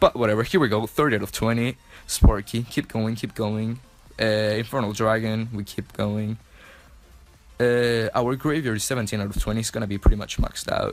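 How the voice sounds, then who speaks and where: Music plays in the background as a man speaks at a fairly quick pace. His pitch is medium and his intonation fairly even. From Chile. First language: Spanish. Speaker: mobile gaming YouTuber. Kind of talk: gameplay commentary voice-over. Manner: casual, filler-heavy with self-corrections.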